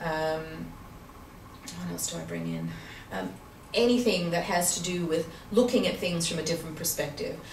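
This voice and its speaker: A woman speaks with long, frequent pauses, and audible room echo surrounds her voice. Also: moderate pace. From Canada, Vancouver. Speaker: accountant and university teacher. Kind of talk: interview. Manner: hesitant, many fillers.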